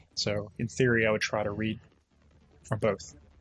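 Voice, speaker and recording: A man is speaking. Music plays in the background. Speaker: streamer. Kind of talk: live stream Q&A chat. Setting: live stream.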